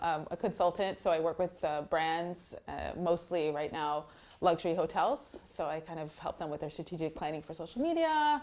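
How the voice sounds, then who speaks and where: A woman with an American accent speaks at a moderate pace in a fairly low voice, hardly pausing, in an unremarkable speaking voice. The recording is very clean, with a silent background. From Texas, USA. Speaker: blogger and content editor. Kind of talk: interview answer.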